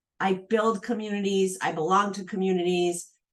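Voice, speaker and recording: A woman with a normal speaking voice talks at a moderate pace and medium pitch. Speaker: entrepreneur and asset manager. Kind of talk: casual chat.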